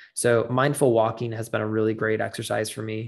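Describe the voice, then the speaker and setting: Against a quiet background, a man with an unremarkable speaking voice and a medium pitch talks at a moderate pace. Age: 20s. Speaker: podcast host, health and wellness doctor. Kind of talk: solo podcast monologue. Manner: casual with many filler words.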